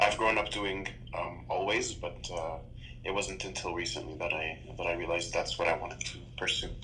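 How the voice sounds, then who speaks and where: A man talks at a fairly quick pace. Room echo and noticeable background noise can be heard. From Canada, Toronto. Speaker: iconographer and painter. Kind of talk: interview. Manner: calm.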